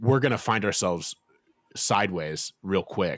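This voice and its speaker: In a plain, everyday voice with an American accent, a man speaks at a fairly low pitch with ordinary pitch variation, recorded very cleanly against a silent background with a dry, close sound and no echo. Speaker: author. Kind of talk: interview.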